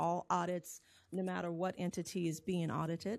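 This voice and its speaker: A woman talks at a moderate pace and medium pitch. The recording is very clean, with a silent background. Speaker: auditor. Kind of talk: presentation. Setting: board meeting. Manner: halting.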